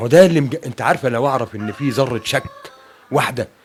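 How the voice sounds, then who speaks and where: At a moderate pace, a man with an Egyptian accent speaks at a medium pitch with ordinary pitch variation. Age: 60s. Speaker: bereaved father. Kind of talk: interview testimony. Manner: halting.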